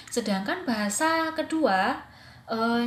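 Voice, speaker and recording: A woman's fairly high voice, with audible room echo. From Java, Indonesia. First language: Javanese (speaking Indonesian). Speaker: English teacher and student. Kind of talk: recorded presentation. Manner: casual, hesitant with fillers.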